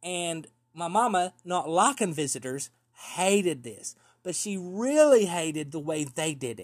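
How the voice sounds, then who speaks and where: A man in an East Tennessee accent talks at a fairly slow pace with a high pitch, lively intonation, and big swings in loudness, in a very clean recording with a silent background. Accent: Southern US (East Tennessee). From US South, East Tennessee. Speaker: podcast storyteller. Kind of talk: storytelling monologue.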